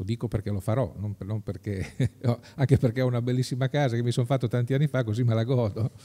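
With a dark, mellow tone and a somewhat breathy quality, a man speaks very fast with hardly any pauses and fairly even intonation. The background is quiet. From Marche, Pesaro-Urbino inland (Urbania); Marche. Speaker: political candidate, entrepreneur; candidate. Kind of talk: interview. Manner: halting. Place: hall. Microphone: studio mic.

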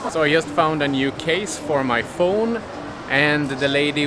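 A man's fairly high voice with ordinary pitch variation, with clear background noise behind it.

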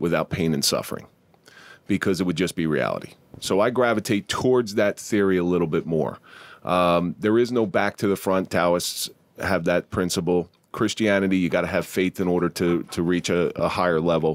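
Against a quiet background, a man with a very deep, low pitch talks at a moderate pace, keeping ordinary pitch variation and very even loudness. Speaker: podcast host. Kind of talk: podcast conversation. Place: studio. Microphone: studio mic.

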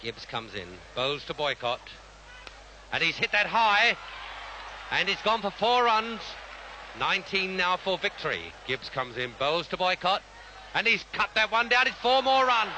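Over crowd noise in the background, a high-pitched man speaks at a moderate pace with very wide pitch swings and long, frequent pauses. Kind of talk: live radio cricket commentary. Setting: radio broadcast archive clip. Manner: formal, clipped, repetitive phrasing.

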